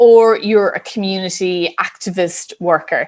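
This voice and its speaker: A woman with an Irish accent speaks at a fairly slow pace. Her pitch is medium and her intonation fairly even. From Ireland. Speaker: business psychologist. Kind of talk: interview.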